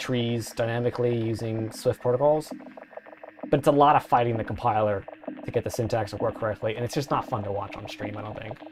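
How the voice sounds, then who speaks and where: Noticeable background noise accompanies speech delivered at a very fast pace. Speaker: software developer streaming live coding. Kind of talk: casual live-stream chat while coding. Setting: live stream. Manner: rambling, many fillers and restarts.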